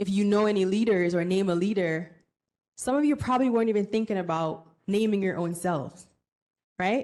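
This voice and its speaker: A woman talks at a fairly quick pace. Her pitch sits in the medium range. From Jamaica. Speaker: workshop speaker, bank professional. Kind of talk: conference presentation to students. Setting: conference room with student audience. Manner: interactive, conversational.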